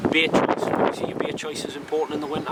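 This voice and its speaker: With a northeast English accent, a man speaks at a medium pitch amid noticeable background noise. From northeast England. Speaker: angling vlogger. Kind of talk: outdoor vlog tutorial. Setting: outdoors by a lake. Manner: casual, jokey.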